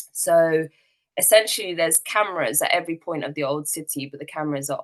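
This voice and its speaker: Here a woman speaks with a strong British accent at a fairly quick pace. Her voice sits very deep and low. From UK. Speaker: activist and eyewitness speaker. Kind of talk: testimony. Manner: hesitant, many fillers.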